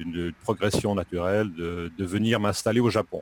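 The sound is dry and close, with no echo. A man speaks at a fairly slow pace, with a fairly low pitch and fairly even intonation. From French-speaking Switzerland, Lausanne region. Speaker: French teacher. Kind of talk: interview. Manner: halting, many hesitations.

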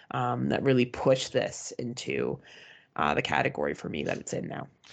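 Talking at a fairly quick pace, a woman speaks with a Canadian accent. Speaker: horror movie podcast co-host. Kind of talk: casual chat.

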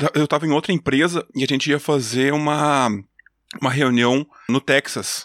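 Speaking at a moderate pace in a southern Brazilian accent, a man keeps fairly even intonation and very even loudness in a very clean, silent-background recording with a dry, close sound and no echo. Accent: gaúcho accent, noticeable. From Brazil, Rio Grande do Sul (Júlio de Castilhos). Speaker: engineer and podcaster. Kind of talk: casual interview chat.

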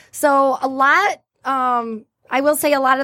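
The sound is dry and close, with no echo. A woman talks at a high pitch with ordinary pitch variation. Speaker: magazine publisher representative. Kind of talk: interview answers, explaining a company.

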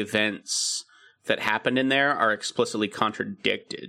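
Bright and sharp in tone, a man's medium-pitched voice moves at a fairly quick pace with ordinary pitch variation. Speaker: podcast co-host. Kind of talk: casual chat.

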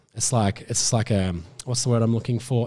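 A man speaks very fast with an Australian accent. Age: 30s. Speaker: gardening expert and TV presenter. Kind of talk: casual chat.

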